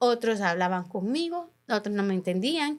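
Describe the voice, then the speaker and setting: In a very clean recording with a silent background, a woman speaks fairly slowly with very wide pitch swings. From Honduras. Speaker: journalist. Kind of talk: interview. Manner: halting.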